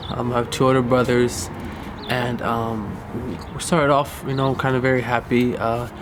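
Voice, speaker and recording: Monotone, flat delivery with an American accent at a moderate pace, plus audible room echo and noticeable background noise. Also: man, medium pitch for a man. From US West Coast, Inglewood, California. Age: 20s. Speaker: filmmaker telling own life story. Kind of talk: personal life-story documentary monologue. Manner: hesitant, many fillers.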